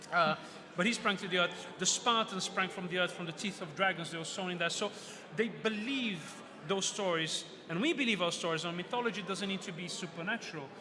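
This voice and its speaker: Over noticeable background noise, a man with a Portuguese accent uses a raised, projected voice at a high pitch and a fairly quick pace. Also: ordinary pitch variation. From Brazil. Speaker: author and mythology speaker. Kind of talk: book fair talk. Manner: animated.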